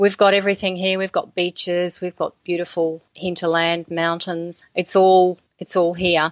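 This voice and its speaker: A woman with an Australian accent, fairly low pitch and monotone, flat intonation at a moderate pace, in a dry, close sound with no echo. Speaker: author. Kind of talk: interview.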